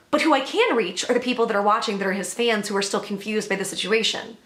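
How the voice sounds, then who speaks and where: Audible room echo and noticeable background noise surrounding a woman's voice. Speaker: YouTube commentator. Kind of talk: casual vlog commentary.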